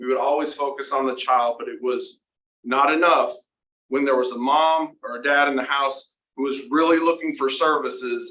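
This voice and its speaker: Here a man speaks with a bright, sharp tone at a fairly high pitch. His intonation stays fairly even. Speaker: university center director presenting research. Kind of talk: presentation to board meeting. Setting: meeting room with Zoom participants. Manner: fast.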